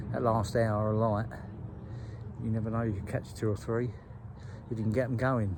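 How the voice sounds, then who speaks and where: Intonation stays fairly even at a moderate pace. Audible room echo hangs on the voice. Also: man, medium pitch for a man. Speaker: carp angler vlogger. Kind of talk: casual vlog talk to camera. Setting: outdoors by a lake. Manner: hesitant, many fillers.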